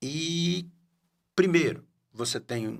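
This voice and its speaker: Here a man talks with lively intonation. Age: 60s. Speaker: podcast host. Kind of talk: casual interview chat. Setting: studio. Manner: halting.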